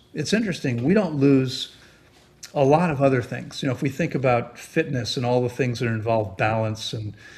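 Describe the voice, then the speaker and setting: A man's somewhat breathy voice at a medium pitch, fairly quick in pace, with ordinary pitch variation. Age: 60s. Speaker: therapeutic fasting expert. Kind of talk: interview. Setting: podcast.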